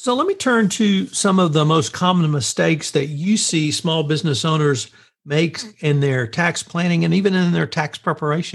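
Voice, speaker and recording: A man with an American accent has an unremarkable speaking voice, fairly high in pitch, at a moderate pace. His loudness is very even, and the background is quiet. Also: ordinary pitch variation. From central Texas. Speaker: podcast interviewer. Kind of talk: interview.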